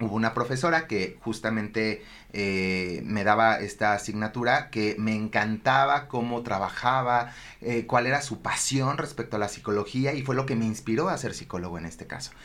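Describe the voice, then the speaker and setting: A man speaking at a moderate pace, medium pitch and ordinary pitch variation. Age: 30s. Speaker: psychologist and primary school director. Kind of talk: interview. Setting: studio. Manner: energetic.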